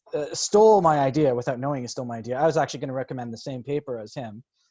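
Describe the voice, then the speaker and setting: A man talks at a very fast pace in a fairly high voice. His loudness swings widely. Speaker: professor. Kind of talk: academic panel talk.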